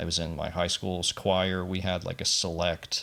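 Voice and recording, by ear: A man speaks at a low pitch with vocal fry. His tone is bright and sharp, with little pitch movement.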